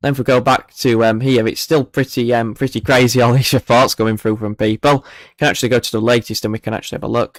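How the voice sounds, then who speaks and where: Monotone, flat speech in a Yorkshire accent at a very fast pace with hardly any pauses, dry and close with no echo, on a very clean recording with a silent background. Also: man, medium pitch for a man. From northern England, Barnsley, South Yorkshire. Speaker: weather livestreamer. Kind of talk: live stream commentary. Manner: casual, hesitant with fillers.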